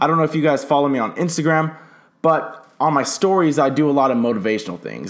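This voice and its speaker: The man's intonation is lively. His pace is very fast. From Southern California. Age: young. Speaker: entrepreneur podcaster. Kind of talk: motivational monologue. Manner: casual.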